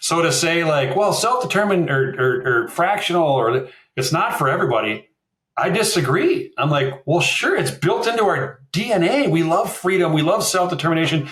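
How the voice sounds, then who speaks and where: A man in a Minnesotan accent speaks at a moderate pace with a high pitch and lively intonation. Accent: Minnesota. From Minnesota, US. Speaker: fractional marketing executive. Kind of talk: podcast interview.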